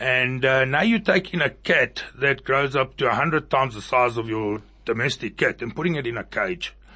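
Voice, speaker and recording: This man speaks at a moderate pace with hardly any pauses and ordinary pitch variation. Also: medium pitch for a man. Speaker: motorcycle club president. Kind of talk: radio interview. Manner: loud, boisterous; blunt, outspoken.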